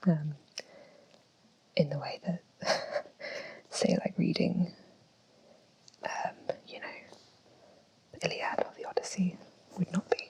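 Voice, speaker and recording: A woman speaks with an English accent at a fairly slow pace. Her loudness swings widely, and she takes long, frequent pauses. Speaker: ASMR creator. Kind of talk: ASMR book collection talk. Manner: whispered, slow, soft-spoken.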